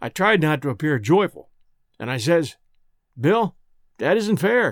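A man speaks at a fairly slow pace with very wide pitch swings. The recording is very clean, with a silent background and a dry, close sound with no echo. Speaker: audiobook narrator. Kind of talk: reading aloud a story; dramatized first-person elder telling his life story, with dialect.

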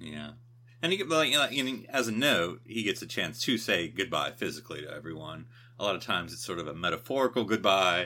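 A man with vocal fry and a bright, sharp tone talks at a fairly quick pace with very wide pitch swings in a very clean recording with a silent background. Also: medium pitch for a man, big swings in loudness. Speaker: podcast co-host. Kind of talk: casual chat.

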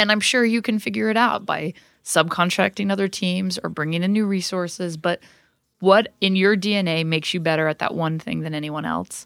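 Speaking at a fairly quick pace, a woman with a plain, everyday voice shows ordinary pitch variation. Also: medium pitch for a woman. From Utah. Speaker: corporate events executive. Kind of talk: interview.

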